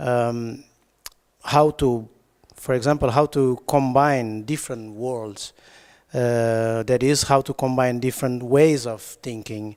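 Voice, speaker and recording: A man with a non-native accent at medium pitch, fairly even intonation and a very slow pace, in a very clean recording with a silent background. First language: not English. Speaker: designer and researcher. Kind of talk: conference presentation read from notes. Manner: halting, hesitant.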